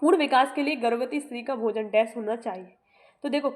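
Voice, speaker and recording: A woman talks with a high pitch and ordinary pitch variation. Her pace is moderate. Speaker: online exam-prep teacher. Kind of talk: tutorial. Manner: halting, with many fillers.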